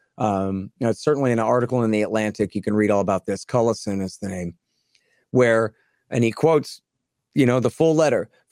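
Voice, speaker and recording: A man with an American accent and a normal speaking voice, at a fairly quick pace with ordinary pitch variation, in a dry, close sound with no echo and a very clean recording with a silent background. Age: 40s. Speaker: anti-war author and podcast host. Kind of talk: interview.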